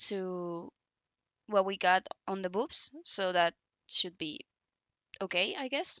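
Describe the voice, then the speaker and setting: With a non-native accent, a woman speaks fairly slowly at a medium pitch and with fairly even intonation. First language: not English. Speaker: modding tutorial creator. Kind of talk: tutorial. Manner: casual, hesitant.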